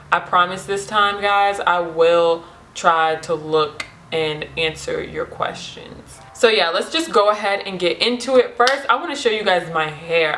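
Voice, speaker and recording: A woman with a medium pitch speaks at a fairly slow pace. Her intonation is lively over noticeable background noise. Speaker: beauty vlogger. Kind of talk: casual vlog. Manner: animated; loud.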